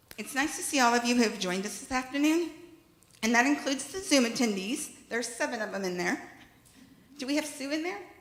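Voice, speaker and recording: A woman talks at a very fast pace with lively intonation and a high pitch. Audible room echo and noticeable background noise surround her. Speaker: congregation board chair. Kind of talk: meeting chairing from a script. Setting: congregational meeting hall with in-person and Zoom attendees.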